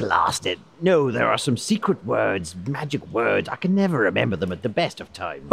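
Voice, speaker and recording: Someone uses a put-on character voice, barely pausing, with music playing in the background. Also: man, medium pitch for a man, moderate pace. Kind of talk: comic overacting. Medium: audio drama. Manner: blustering, pompous, grandiloquent.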